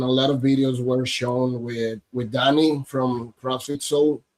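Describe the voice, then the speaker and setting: Speaking at a very slow pace in a flat monotone, a man with a Spanish accent has a medium pitch and a dark, mellow tone, recorded dry and close with no echo. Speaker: podcast host. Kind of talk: podcast interview. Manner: halting in English.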